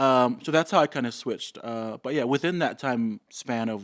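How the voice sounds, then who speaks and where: A man's medium-pitched voice with a Samoan accent and ordinary pitch variation, dry and close with no echo, in a very clean recording over a silent background. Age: 30s. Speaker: fashion designer. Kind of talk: casual interview chat.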